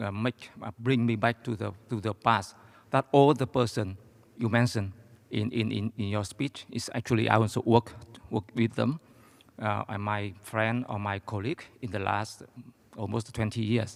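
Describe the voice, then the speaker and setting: Recorded dry and close with no echo, a man speaks with a Vietnamese accent at a fairly low pitch, moderate pace and fairly even intonation. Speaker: audience member, academic and former economic advisor. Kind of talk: audience question at lecture Q&A. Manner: halting, many hesitations.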